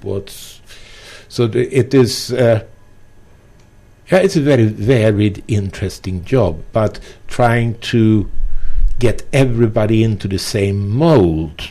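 In a dark, mellow tone, a man with a non-native accent speaks slowly at a fairly low pitch, with ordinary pitch variation and long, frequent pauses.

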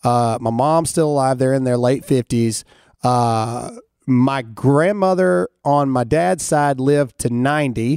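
Speaking with a Southern US accent, a man talks at a fairly slow pace with ordinary pitch variation. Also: medium pitch for a man, very even loudness. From US South. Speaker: podcast host and military veteran. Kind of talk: casual chat. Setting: studio.

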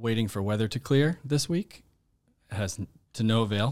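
The recording is very clean, with a silent background. A man talks at a medium pitch in a plain, everyday voice, with ordinary pitch variation. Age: 30s. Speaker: podcast producer and actor. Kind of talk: casual chat.

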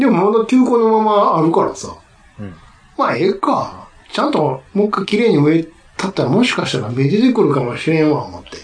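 With a Kansai accent, a man speaks high in pitch, his voice swinging very widely in pitch and loudness over noticeable background noise. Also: fairly quick pace. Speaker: podcast co-host. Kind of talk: casual chat.

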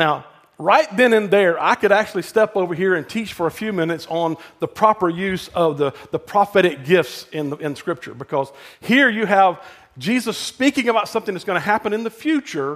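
In a Southern US accent, a man talks at a fairly quick pace with a high pitch and lively intonation. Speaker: pastor. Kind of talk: sermon. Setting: church. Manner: fast.

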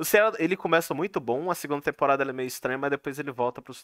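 A man's very fast, lively delivery in a dry, close sound with no echo. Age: 20s. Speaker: podcast host. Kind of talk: casual chat. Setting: live stream.

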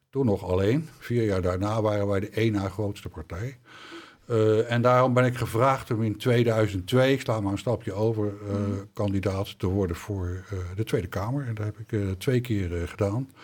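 A man with a plain, everyday voice talks at a moderate pace, his pitch fairly low and his intonation fairly even. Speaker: former politician. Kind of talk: interview. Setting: studio.

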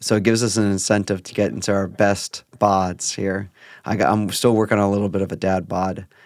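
On a very clean recording with a silent background, a man with a fairly low pitch and an ordinary speaking voice speaks at a moderate pace with fairly even intonation. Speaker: podcast host. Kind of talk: casual chat.

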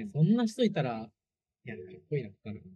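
With a dark, mellow tone, a somewhat breathy man speaks in very wide pitch swings. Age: 20s. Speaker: startup founder. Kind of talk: casual chat.

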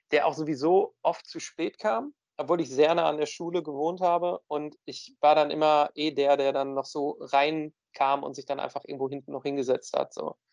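Speaking at a fairly quick pace, a man with a fairly high voice keeps a monotone, flat intonation in a dry, close sound with no echo. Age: 30s. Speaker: podcast co-host, works in film. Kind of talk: casual chat.

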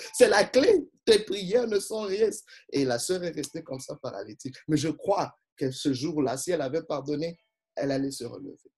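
With an animated tone and lively intonation, a man speaks at a moderate pace in a fairly high pitch, his loudness swinging widely. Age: 40s. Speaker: pastor. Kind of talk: sermon.

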